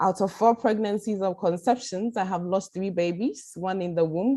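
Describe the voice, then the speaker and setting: A woman at medium pitch with a dark, mellow tone, ordinary pitch variation and a moderate pace, over a quiet background. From Ghana. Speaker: patient advocate. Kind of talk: testimony.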